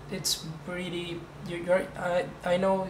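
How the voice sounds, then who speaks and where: With a non-native accent, a man speaks amid noticeable background noise and audible room echo. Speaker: hobbyist programmer. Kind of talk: tutorial. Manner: halting.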